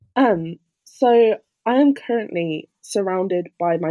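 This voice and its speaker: Lively intonation marks a woman's dark, mellow tone, heard dry and close with no echo. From England, Birmingham. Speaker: university student. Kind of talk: casual interview.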